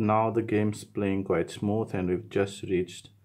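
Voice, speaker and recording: The man's tone is dark and mellow, and the background is quiet. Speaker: tech reviewer. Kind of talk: gameplay commentary. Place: studio.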